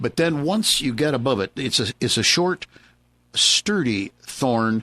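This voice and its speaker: Moving at a moderate pace, a man speaks in a plain, everyday voice with lively intonation. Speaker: horticultural consultant, certified arborist and landscape designer, gardening radio host. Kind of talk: live radio gardening advice, answering a listener question. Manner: friendly, conversational, with frequent filler words and pauses.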